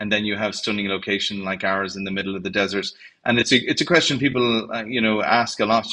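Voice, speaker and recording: A man with an Irish accent speaks at a very fast pace, his pitch fairly low and his intonation fairly even. His tone is bright and sharp, and the background is quiet. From Ireland. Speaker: hotel general manager. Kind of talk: interview. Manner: hesitant, many fillers.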